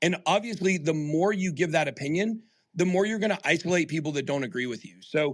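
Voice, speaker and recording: Loud and animated, a man speaks with a passionate tone at a fairly quick pace and a high pitch, in a very clean recording with a silent background. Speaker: crypto YouTuber and podcast host. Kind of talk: Twitter Spaces live discussion. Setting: live audio stream on Twitter Spaces. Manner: animated, passionate.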